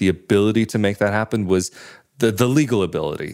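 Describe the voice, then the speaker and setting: At a fairly quick pace, a man with an American accent speaks with a fairly low pitch and ordinary pitch variation, an ordinary speaking voice on a very clean recording with a silent background. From United States. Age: 20s. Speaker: podcaster. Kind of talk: interview.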